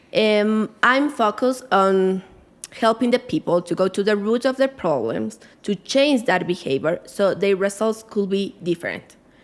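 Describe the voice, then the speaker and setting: A woman with a Spanish accent talks at very even loudness. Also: medium pitch for a woman, ordinary pitch variation, moderate pace. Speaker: life coach. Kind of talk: podcast interview. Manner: halting.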